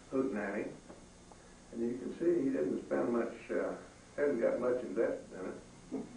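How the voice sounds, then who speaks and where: A man speaks fairly slowly, with audible room echo in the recording. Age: 80s+. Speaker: retired livestock specialist. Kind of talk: museum talk. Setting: museum room with small audience. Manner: halting.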